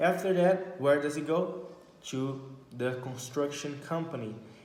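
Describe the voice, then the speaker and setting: Amid noticeable background noise and audible room echo, a man with a Brazilian Portuguese accent speaks at a fairly slow pace in a fairly high pitch. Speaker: vlogger. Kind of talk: casual monologue. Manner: halting.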